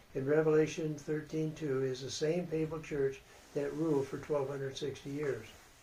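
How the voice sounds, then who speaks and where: An ordinary speaking voice from a man, fairly high in pitch. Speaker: Bible prophecy teacher. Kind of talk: Bible study lecture.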